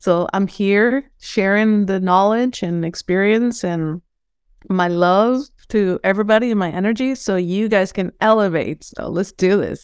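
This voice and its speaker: An enthusiastic woman with a Venezuelan accent, fairly slow pace and ordinary pitch variation. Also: medium pitch for a woman. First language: Spanish. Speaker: holistic coach. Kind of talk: casual interview.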